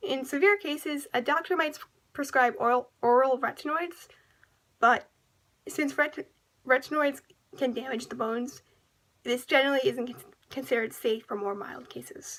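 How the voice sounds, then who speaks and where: Over a quiet background, a high-pitched woman talks at a moderate pace with lively intonation and long, frequent pauses. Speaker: presenter. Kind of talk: educational PSA narration. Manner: stammering, with random pauses. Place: home room. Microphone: webcam.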